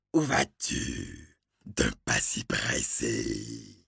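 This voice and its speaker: A raspy, menacing put-on character voice delivered at a very slow pace. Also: man, very deep, low pitch for a man. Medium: read story. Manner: menacing, demanding.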